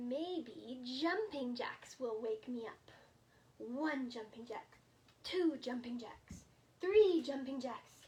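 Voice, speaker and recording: A woman puts on a character voice at a high pitch. She speaks at a very slow pace. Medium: read story. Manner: earnest, eager.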